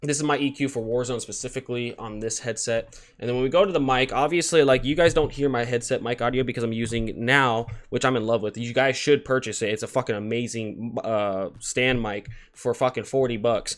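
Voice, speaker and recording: Over a quiet background, a man at medium pitch speaks at a fairly quick pace. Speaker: gaming streamer reviewing headsets. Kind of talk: tutorial. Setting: home streaming desk with stand mic. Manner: casual, swears often. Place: home room. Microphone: studio mic.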